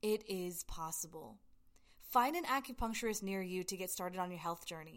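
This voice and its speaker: A woman with an American accent speaks at a moderate pace. Her pitch swings very widely. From US South, Georgia. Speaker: podcast host, acupuncturist. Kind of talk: educational monologue. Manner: animated.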